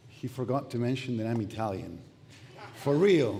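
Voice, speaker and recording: Someone with a Spanish accent talks at a moderate pace with ordinary pitch variation, and the room echo is audible. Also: man. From Argentina. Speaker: pastor. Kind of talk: sermon. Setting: church. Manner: halting.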